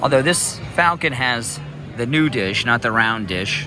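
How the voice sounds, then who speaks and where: A man at a fairly slow pace with ordinary pitch variation, music in the background. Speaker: theme park vlogger. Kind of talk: casual vlog narration. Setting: outdoors at theme park.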